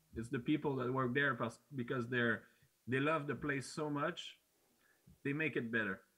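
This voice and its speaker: In a French accent, a man speaks at a medium pitch and moderate pace with fairly even intonation and long, frequent pauses. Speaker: deli owner. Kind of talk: interview. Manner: halting.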